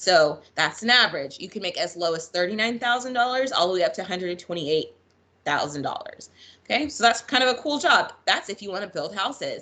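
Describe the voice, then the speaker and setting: The speech moves at a fairly quick pace with very wide pitch swings. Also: woman. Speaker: school counselor; presenter. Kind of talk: online presentation. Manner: fast. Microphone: video call.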